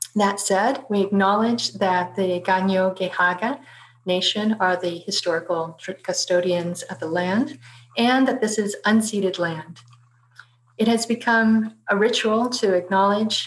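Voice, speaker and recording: Her voice somewhat breathy, a woman speaks with ordinary pitch variation. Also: fairly slow pace. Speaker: webinar host. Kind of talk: formal event introduction. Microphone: webcam.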